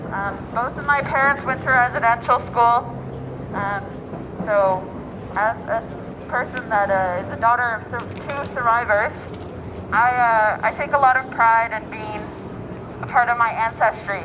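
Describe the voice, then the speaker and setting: Fairly slow, fairly high-pitched speech from a woman with a Canadian accent, fairly even intonation, long, frequent pauses and noticeable background noise. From Western Canada. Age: 20s. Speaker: activist. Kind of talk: rally speech. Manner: halting, many fillers.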